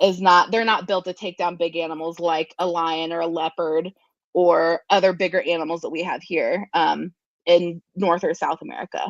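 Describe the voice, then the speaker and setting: With a US Midwestern accent, a woman speaks at a moderate pace over a quiet background, the sound dry and close with no echo. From Ohio, Columbus area. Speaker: zookeeper and animal educator. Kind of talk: interview. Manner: many filler ums.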